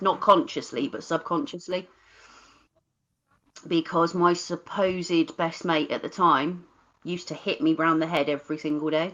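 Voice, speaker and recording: With a Cornish accent, a woman speaks at a moderate pace in a fairly low pitch with ordinary pitch variation, leaving long, frequent pauses. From Cornwall, England (Bodmin). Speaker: live stream host. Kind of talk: casual chat.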